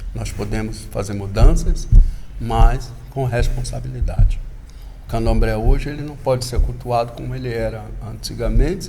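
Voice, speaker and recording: A man talks at a moderate pace, his loudness rising and falling sharply. The room's echo can be heard. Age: 60s. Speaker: candomblé religious elder. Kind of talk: interview. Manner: halting, with repetitions.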